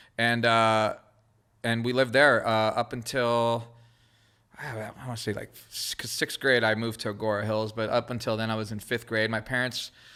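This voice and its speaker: Bright and sharp in tone, a man with a Southern California accent speaks at a medium pitch and moderate pace in a flat monotone. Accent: Southern California American English. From Israel, raised in Los Angeles area. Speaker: creative director and graffiti artist. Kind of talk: casual podcast interview.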